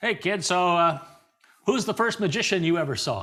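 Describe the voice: Put-on, gruff character voice from a man, high-pitched, moderate pace, ordinary pitch variation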